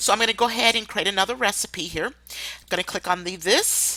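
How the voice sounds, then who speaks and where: A loud woman's voice, bright and sharp in tone, at medium pitch and a moderate pace, with ordinary pitch variation. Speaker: online marketer giving tutorials. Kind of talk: screen-share tutorial.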